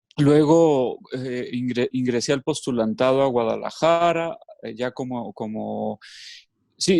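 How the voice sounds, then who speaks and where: At a fairly slow pace, a man with a normal speaking voice and a medium pitch talks with ordinary pitch variation, in a dry, close sound with no echo. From Mexico, Los Altos de Jalisco. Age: 30s. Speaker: educator and former religious brother. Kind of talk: casual interview. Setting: video call.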